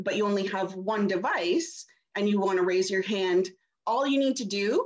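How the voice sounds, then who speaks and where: The speaker uses ordinary pitch variation against a quiet background. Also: woman. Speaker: church meeting host. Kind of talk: tutorial. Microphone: video call.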